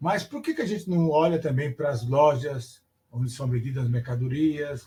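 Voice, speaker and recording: A man's somewhat breathy voice carries fairly even intonation as he talks. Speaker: teacher educator giving a lecture. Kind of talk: online lecture.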